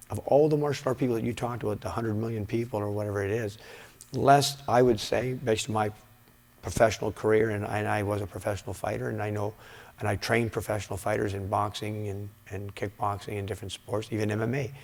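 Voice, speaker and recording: Speaking at a very fast pace, a man with a fairly low pitch uses ordinary pitch variation. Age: 60s. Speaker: karate instructor and former professional fighter. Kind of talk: interview. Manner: halting, many fillers and repeats.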